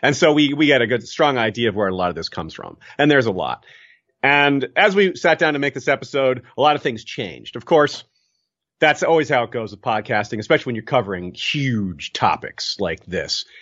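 A man talks at a fairly quick pace with lively intonation and a fairly high pitch. Vocal fry runs through his voice, and his loudness swings widely. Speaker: podcaster. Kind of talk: casual chat.

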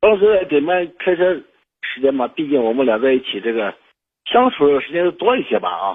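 His pitch swings very widely as the man speaks at a moderate pace. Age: 30s. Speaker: radio call-in listener. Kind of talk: advice call-in conversation. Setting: phone call. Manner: halting, many fillers and repetitions.

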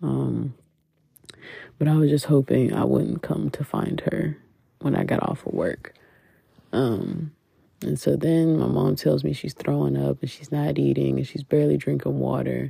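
The speech has a moderate pace. Long pauses come often. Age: 20s. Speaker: podcast host. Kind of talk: personal monologue. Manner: casual, with frequent laughs and fillers.

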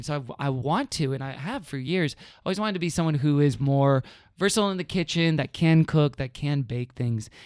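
With an American accent and an ordinary speaking voice, a man pitched fairly high speaks at a fairly quick pace with ordinary pitch variation on a very clean recording with a silent background. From Houston, Texas. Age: 30s. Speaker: podcast guest. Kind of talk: casual chat.

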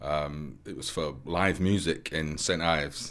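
A man's very deep, low voice with a Mancunian accent and fairly even intonation. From Manchester, northern England. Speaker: former nurse and community volunteer organiser. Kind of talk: interview testimony. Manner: casual with frequent hesitations.

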